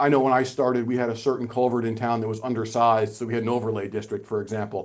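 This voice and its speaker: Speaking at a very fast pace, a man keeps to a medium pitch. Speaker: municipal stormwater official testifying. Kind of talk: legislative committee testimony.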